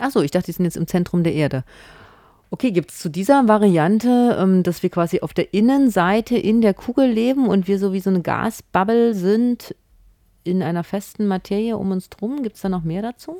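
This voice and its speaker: Woman's dark, mellow tone at medium pitch, lively intonation, dry and close with no echo, very clean recording with a silent background. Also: moderate pace. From not from the local region. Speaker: community radio host. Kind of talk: casual satirical studio chat. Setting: radio studio.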